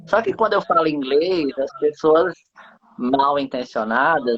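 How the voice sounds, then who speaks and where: A fairly slow pace in a slight northeastern Brazilian accent. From Brazil, interior of Rio Grande do Norte (Northeast). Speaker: live stream host. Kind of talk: casual chat. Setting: live stream.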